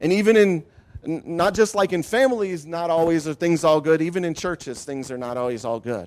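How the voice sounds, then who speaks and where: Speaking with a Midwestern US accent, a high-pitched man talks at a fairly quick pace with lively intonation. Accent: US Midwest. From Ohio. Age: 50s. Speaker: pastor. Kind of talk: testimony.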